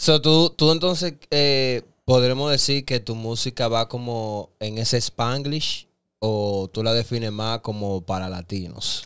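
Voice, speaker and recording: Speaking at a very slow pace, a man talks with a Dominican accent. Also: medium pitch for a man, ordinary pitch variation, quiet background. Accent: typical Dominican, clipped words. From Dominican Republic. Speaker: podcast co-host. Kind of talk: casual interview chat. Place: studio. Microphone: studio mic.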